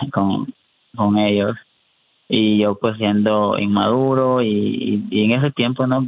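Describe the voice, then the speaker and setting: Very slowly, a man speaks at a fairly low pitch with fairly even intonation. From Honduras, raised in the US. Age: 30s. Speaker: prisoner and YouTuber. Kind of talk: interview testimony. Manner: halting, with repetitions.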